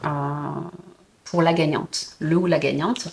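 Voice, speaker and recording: A woman's somewhat breathy voice proceeds at a moderate pace. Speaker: puzzle and book vlogger. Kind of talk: casual vlog. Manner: hesitant, many fillers.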